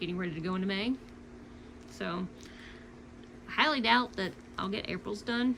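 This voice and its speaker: A woman with a slight Louisiana accent and a medium pitch speaks at a fairly quick pace with lively intonation. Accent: slight Southern (Louisiana). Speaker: cross-stitch vlogger. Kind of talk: casual chat. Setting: home at night.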